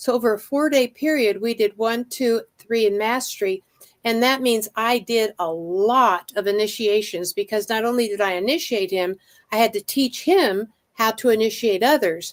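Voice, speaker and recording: A woman uses a plain, everyday voice, fairly high with ordinary pitch variation, at a moderate pace in a dry, close sound with no echo on a very clean recording with a silent background. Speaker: psychic channeler. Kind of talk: testimony.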